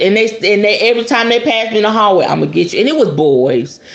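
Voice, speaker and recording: A woman with an American accent speaks in an animated tone with lively intonation. Audible room echo and noticeable background noise surround her. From US South. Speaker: spiritualist podcast host. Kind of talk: casual podcast talk on magic.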